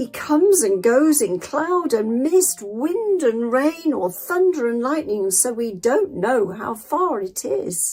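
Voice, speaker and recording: A woman performs a put-on character voice pitched high. She goes at a fairly slow pace with hardly any pauses. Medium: read story.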